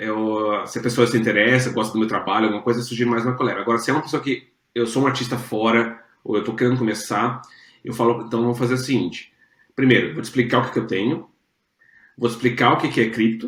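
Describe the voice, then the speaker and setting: The man's medium pitch holds monotone and flat. He rushes along at a very fast pace. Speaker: NFT artist manager. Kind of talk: interview answer.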